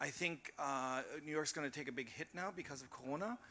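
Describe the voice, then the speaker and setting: Speaking at a fairly quick pace, the voice has a bright, sharp tone and an American accent. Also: man. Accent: very American. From Berlin (Charlottenburg). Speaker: panelist. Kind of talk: panel discussion. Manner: animated.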